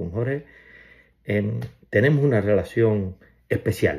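A man's dark, mellow voice, fairly low in pitch, with lively intonation against a quiet background. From Cuba. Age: 60s. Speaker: family member giving tribute. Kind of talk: personal video message. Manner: casual, hesitant with fillers. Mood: warm, fond, reminiscing. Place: home room.

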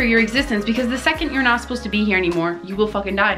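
Clear music sounds behind the speech. The speaker is a woman. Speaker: vlogger. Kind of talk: casual motivational vlog chat.

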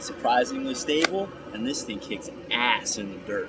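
The speech has ordinary pitch variation over loud background noise. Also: man. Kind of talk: casual vlog demonstration. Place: forest. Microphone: camera far.

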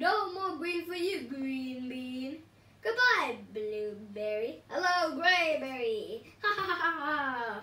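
Speaking very slowly, a woman puts on a character voice at a high pitch. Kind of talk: taunting. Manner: gleeful, cackling.

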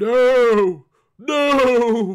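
Putting on a character voice, a man speaks at an extremely high pitch with a clear, smooth tone, ordinary pitch variation, and a very slow pace.

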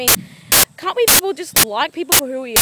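A woman speaks at a fairly quick pace in a raised, projected voice with lively intonation. Noticeable background noise is present. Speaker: vlogger. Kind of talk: angry rant. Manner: impassioned, indignant; emphatic, repetitive.

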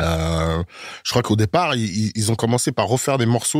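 A man's voice at a moderate pace, with lively intonation. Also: very clean recording, silent background. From Germany, then Paris from age 10. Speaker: rapper and actor. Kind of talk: casual interview. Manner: hesitant, many fillers.

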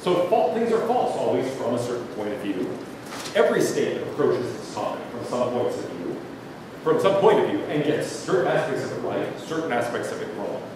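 A man with an American accent at a fairly quick pace, amid strong room echo and noticeable background noise. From Pittsburgh, US. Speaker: philosophy professor. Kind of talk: lecture. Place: hall.

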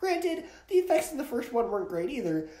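Audible room echo surrounds a man's dark, mellow tone. His intonation is lively.

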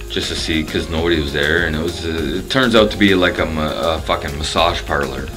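Over clear music in the background, a man with a very deep, low voice talks at a fairly quick pace. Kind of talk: casual vlog chat. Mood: relaxed, joking, profane. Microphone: phone near.

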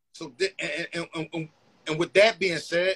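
A man's high voice at a moderate pace. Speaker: interview guest. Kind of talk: interview answer. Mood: reflective, candid. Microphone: video call.

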